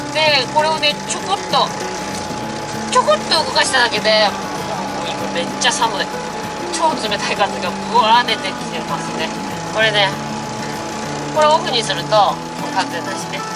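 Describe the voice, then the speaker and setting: Music plays in the background as a man talks at a moderate pace. He leaves long, frequent pauses. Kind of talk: casual vlog chat. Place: car. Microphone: phone near.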